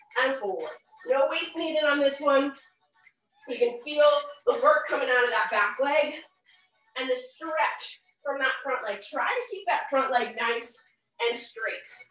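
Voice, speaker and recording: A high-pitched woman at a fairly slow pace, with long, frequent pauses and audible room echo. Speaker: fitness instructor. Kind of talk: workout instruction. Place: gym. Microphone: video call.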